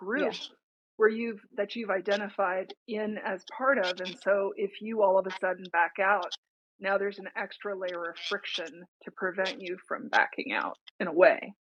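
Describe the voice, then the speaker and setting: A woman speaks in an unremarkable speaking voice at medium pitch and moderate pace. Her pitch varies in an ordinary way while her loudness swings widely. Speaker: podcast co-host. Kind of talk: interviewer on a talk stream.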